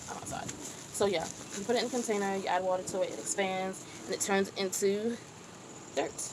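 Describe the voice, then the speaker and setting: A woman at a medium pitch speaks fairly quickly with fairly even intonation and long, frequent pauses, amid noticeable background noise and audible room echo. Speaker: chef and home gardener vlogger. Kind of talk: tutorial. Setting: outdoors on a porch. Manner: halting.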